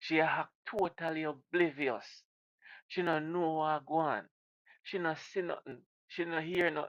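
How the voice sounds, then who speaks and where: A man with a Jamaican accent talks at a fairly high pitch and fairly even intonation, recorded dry and close with no echo. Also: quiet background. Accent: Jamaican patois. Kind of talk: casual reaction commentary to camera.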